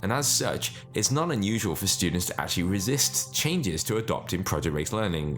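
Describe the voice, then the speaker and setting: With music in the background, a man talks at a fairly quick pace, his pitch swinging very widely. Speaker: educator, private school founder. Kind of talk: educational explainer talk.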